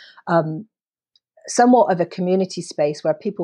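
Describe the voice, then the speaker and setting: A woman's dark, mellow voice at a moderate pace, dry and close with no echo, over a quiet background. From Britain. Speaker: education and career readiness advocate. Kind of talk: podcast interview. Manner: animated.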